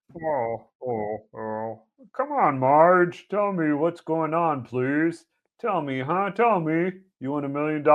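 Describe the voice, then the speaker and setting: Very slow put-on character voice at a middle pitch. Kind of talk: comic impression. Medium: read story. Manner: whiny, pleading.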